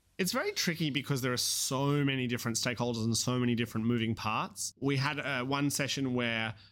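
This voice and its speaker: In a very clean recording with a silent background, a man talks at a very fast pace with an Australian accent. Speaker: haematology researcher.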